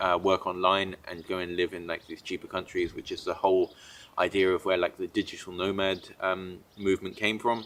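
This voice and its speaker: He is a man with a slight British accent. His pace is fairly quick. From Britain. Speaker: entrepreneur and digital nomad vlogger. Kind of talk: casual monologue. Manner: many fillers and restarts.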